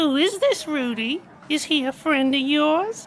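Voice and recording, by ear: A put-on character voice, female-sounding and high-pitched for a woman, at a fairly slow pace over clear background noise.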